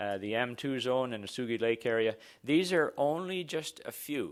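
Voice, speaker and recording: Medium-pitched man with a Canadian accent at a moderate pace with ordinary pitch variation, on a very clean recording with a silent background. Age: 60s. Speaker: exploration geophysicist. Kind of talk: conference presentation. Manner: halting.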